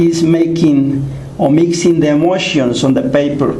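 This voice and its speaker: With a Mexican accent and a high pitch, a man speaks at a fairly slow pace amid audible room echo and noticeable background noise. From Mexico, Guerrero (Amayaltepec). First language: Nahuatl. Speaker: painter and artist. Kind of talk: casual explanation of artwork to camera. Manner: halting, many fillers.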